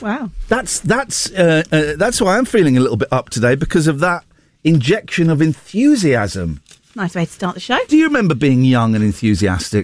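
A man's fairly high voice with very wide pitch swings at a moderate pace. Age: 50s. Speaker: radio host. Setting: studio. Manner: animated.

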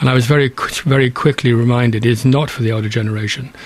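A man talks at a fairly quick pace with fairly even intonation amid noticeable background noise. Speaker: charity branch chairman with Parkinson's. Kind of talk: interview. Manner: halting, stammering.

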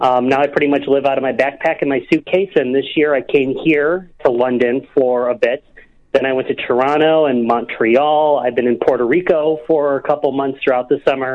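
With an American accent, a man speaks at a moderate pace with a fairly high pitch and fairly even intonation. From US Midwest. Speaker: caller. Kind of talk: phone-in conversation. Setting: phone call.

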